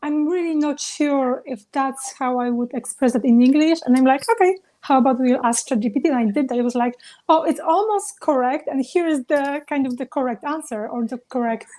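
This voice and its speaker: High-pitched woman's voice with a dark, mellow tone. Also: ordinary pitch variation, fairly quick pace. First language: not English. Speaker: travel business founder. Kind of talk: panel discussion.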